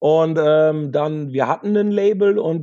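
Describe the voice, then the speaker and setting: Fairly high-pitched male voice with a dark, mellow tone and ordinary pitch variation. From Münsterland, north-west Germany. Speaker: rock musician, backing vocalist. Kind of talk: casual chat.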